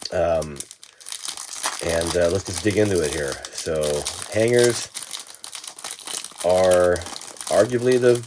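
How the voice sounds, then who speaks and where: Lively intonation marks this man's speech. Noticeable background noise can be heard. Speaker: sports card collector YouTuber. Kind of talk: casual card-opening video.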